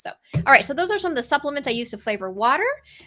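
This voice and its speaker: In a very clean recording with a silent background, a woman speaks in a bright, sharp tone. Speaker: registered dietitian. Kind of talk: product show-and-tell. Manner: fast; casual, many fillers.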